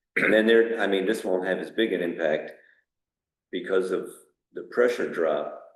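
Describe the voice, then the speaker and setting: Recorded with audible room echo, a man talks with long, frequent pauses. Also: moderate pace. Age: 60s. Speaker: water system operator. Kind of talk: town board meeting discussion. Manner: hesitant, with fillers.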